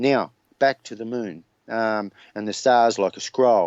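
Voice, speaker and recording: Speaking fairly slowly, a man talks in an Australian accent. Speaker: flat earth theorist. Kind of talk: interview.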